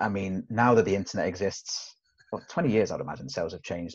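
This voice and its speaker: A man talks at a fairly quick pace, sounding somewhat breathy. The background is quiet. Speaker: sales trainer. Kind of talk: casual interview chat. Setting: video call. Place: meeting room. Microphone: webcam.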